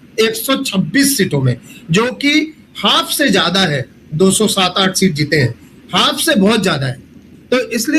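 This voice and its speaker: Pitch swings very widely as a man talks in a non-native accent. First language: not Hindi (speaking Hindi). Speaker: professor, election data analyst. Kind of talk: panel discussion analysis. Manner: halting, many fillers.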